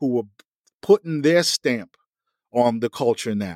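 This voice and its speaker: With a New York accent, a man speaks at a medium pitch with ordinary pitch variation, the sound dry and close with no echo. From US Northeast, Mount Vernon, New York. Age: 50s. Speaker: music industry insider. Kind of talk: interview. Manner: halting.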